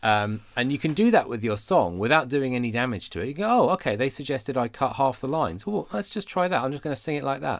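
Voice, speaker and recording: A man with a British accent at a medium pitch, very fast and with hardly any pauses, making very wide pitch swings on a very clean recording with a silent background. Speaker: podcast co-host and worship resource creator.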